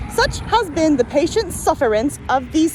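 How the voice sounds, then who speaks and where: Moderate-paced speech with an American accent over noticeable background noise. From US Midwest. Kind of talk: casual reading of a founding document outdoors with commentary. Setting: outdoors.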